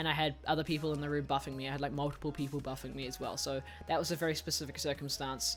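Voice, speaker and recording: The speech comes at a very fast pace with a New Zealand accent. Music plays in the background. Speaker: gaming YouTuber. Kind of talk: Q&A video answering viewer questions. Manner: casual, hesitant with fillers.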